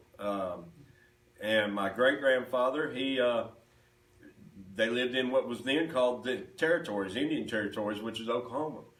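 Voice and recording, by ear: A man with a medium-pitched, fairly bright voice talks at a moderate pace amid strong room echo.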